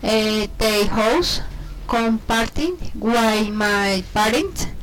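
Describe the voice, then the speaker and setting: A woman with a Spanish accent, fairly high-pitched, at a very slow pace with ordinary pitch variation. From Colombia, Cundinamarca. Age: 30s. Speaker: English learner. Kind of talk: self-introduction practice. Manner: halting, many hesitations.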